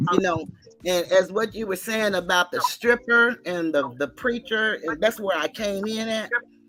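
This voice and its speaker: The speaker talks in a normal speaking voice at a moderate pace, and the pitch varies in an ordinary way. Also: woman, medium pitch for a woman. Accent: American. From Texas, Dallas. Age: 60s. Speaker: caller. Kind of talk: casual chat.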